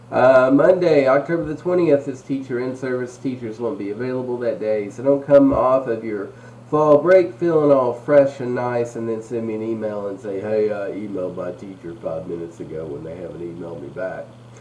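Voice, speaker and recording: A man talks at a fairly quick pace with hardly any pauses, his medium pitch carried by lively intonation and big swings in loudness. Noticeable background noise and audible room echo sit behind him. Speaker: school administrator. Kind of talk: school announcements. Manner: casual, joking.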